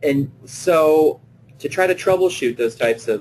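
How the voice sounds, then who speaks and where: Somewhat breathy, a man with a medium-pitched voice talks at a moderate pace. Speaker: play therapist presenting a webinar. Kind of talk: webinar lecture; guided visualization. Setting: online webinar. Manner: hesitant, many fillers.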